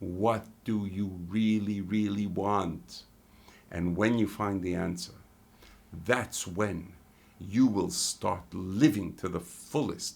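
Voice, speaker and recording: A man with a fairly low pitch and ordinary pitch variation speaks very slowly. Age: 60s. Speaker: life and business coach. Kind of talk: motivational talk to camera.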